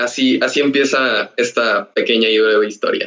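The man's voice sounds bright and sharp. He talks rather slowly. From Mexico, Ciudad Victoria (Tamaulipas). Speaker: animation student. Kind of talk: casual podcast interview. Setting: online voice call.

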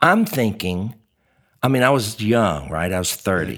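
Over a very clean recording with a silent background, a man with an unremarkable speaking voice talks at a fairly slow pace and a fairly low pitch, his intonation lively. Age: 60s. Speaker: comedian. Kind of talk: casual chat.

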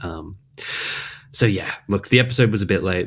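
Here is a man with an Australian accent. He talks at a fairly quick pace. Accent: mild Australian. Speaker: podcast co-host. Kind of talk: casual chat.

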